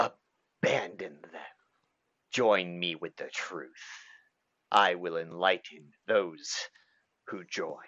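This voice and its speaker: A man puts on a character voice, pitched very deep and low. He speaks very slowly, with long, frequent pauses. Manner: sinister.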